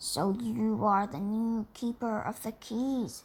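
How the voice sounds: Using a put-on character voice, a woman speaks fairly slowly at a fairly high pitch.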